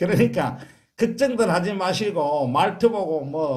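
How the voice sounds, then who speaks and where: A man with a Gyeongsang accent speaks at a moderate pace with lively intonation. His voice is somewhat breathy, and audible room echo surrounds it. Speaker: cancer support lay counselor and channel host. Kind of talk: interview conversation. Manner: forceful.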